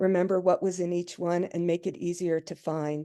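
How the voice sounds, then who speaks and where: A woman speaks with a dark, mellow tone against a quiet background. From Vermont. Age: 60s. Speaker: long-distance paddler and adventure blogger. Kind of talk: presentation with slides.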